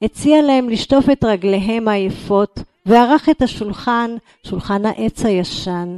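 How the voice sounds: Noise is absent, as the background is quiet. The voice is a natural reading voice, and its pitch variation is ordinary.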